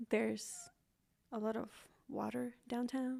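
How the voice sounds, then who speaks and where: A woman's high-pitched voice in a dark, mellow tone, with a slight Mexican accent. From Mexico, Manzanillo, Colima. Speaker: podcast co-host. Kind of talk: casual chat.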